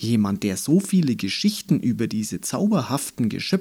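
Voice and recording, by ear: Here a text is read aloud in a natural voice.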